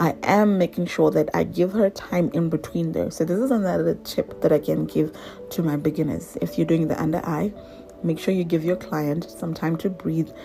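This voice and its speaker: A woman talks with lively intonation. Music is heard behind her. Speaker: makeup artist. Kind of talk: tutorial. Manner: casual, filler-heavy.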